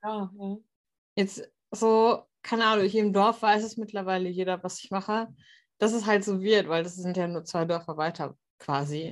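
A woman has a normal speaking voice at medium pitch with fairly even intonation. The background is quiet. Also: moderate pace. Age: 30s. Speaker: podcast host. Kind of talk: casual chat.

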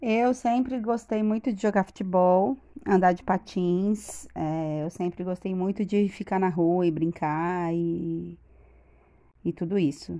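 A woman's dark, mellow voice at a very slow pace, with ordinary pitch variation over a quiet background. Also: medium pitch for a woman. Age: 30s. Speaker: baker. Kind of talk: casual interview.

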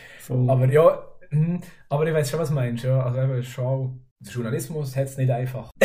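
With audible room echo, a man speaks at a fairly quick pace in a medium pitch, a dark, mellow tone, and a somewhat breathy voice, with monotone, flat intonation and big swings in loudness. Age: 20s. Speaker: music student. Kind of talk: casual chat.

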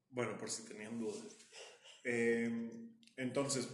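Noticeable background noise and audible room echo surround a man with a Mexican accent speaking at a medium pitch. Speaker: podcast co-host. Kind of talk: casual chat.

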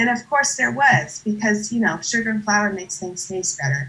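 A woman speaks with an American accent over noticeable background noise. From Northern California. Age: 50s. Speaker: recovery meeting speaker. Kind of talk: testimony. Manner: halting.

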